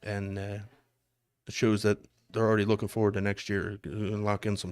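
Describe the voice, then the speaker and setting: Recorded very cleanly against a silent background, a man with a Philadelphia accent speaks at a fairly quick pace and a fairly low pitch. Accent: Philadelphia city. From Philadelphia, US. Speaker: darts commentator. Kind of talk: live sports commentary. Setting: live stream at a darts tournament.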